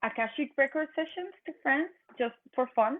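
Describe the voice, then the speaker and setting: A woman speaks with a Mexican accent at a fairly slow pace. Her pitch shows ordinary variation. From northern Mexico. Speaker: energy and consciousness practitioner. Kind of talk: podcast interview. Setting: remote video call.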